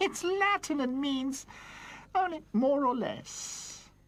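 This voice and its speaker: A woman's cartoonish character voice, high-pitched, with lively intonation and a very slow pace. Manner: gossipy, zealous.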